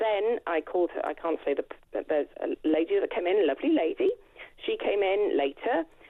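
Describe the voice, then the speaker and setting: With a Welsh accent, a woman speaks at a fairly quick pace. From Wales. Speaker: caller. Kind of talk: phone-in call. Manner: animated.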